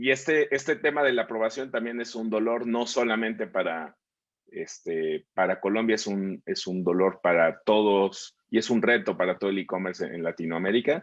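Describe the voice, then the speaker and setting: This man speaks at a medium pitch and a moderate pace. His intonation is lively. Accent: Mexican. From Mexico. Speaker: webinar host. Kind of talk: online panel talk.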